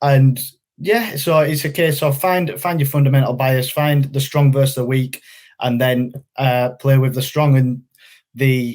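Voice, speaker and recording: A man with a Yorkshire accent speaks at a fairly slow pace. His fairly high voice keeps a fairly even intonation. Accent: Yorkshire accent, noticeable. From northern England, West Yorkshire. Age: 20s. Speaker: funded trader. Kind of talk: interview. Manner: hesitant, many fillers.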